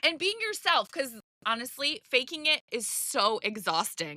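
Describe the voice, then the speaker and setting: A woman raises and projects her high-pitched voice at a moderate pace. Her tone is animated, with very wide pitch swings. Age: 40s. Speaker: podcast host, live-selling coach. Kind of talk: podcast monologue. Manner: loud.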